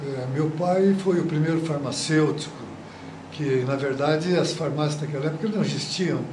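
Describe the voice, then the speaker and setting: A man speaks at a fairly high pitch with ordinary pitch variation, at a fairly slow pace with long, frequent pauses. Noticeable background noise and audible room echo are present. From Brazil, Paraná (Marialva). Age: 80s+. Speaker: retired football goalkeeper. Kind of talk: interview. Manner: halting, with repetitions.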